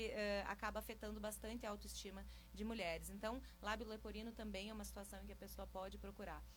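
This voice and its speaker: Audible room echo surrounds the speech. A woman talks at a very fast pace. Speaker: micropigmentation specialist. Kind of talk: radio interview.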